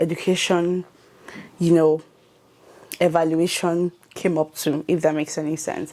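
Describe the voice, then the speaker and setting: In a Nigerian accent, a woman speaks at a moderate pace with a fairly low pitch and monotone, flat intonation. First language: not English. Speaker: YouTuber. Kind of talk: tutorial. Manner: casual with fillers.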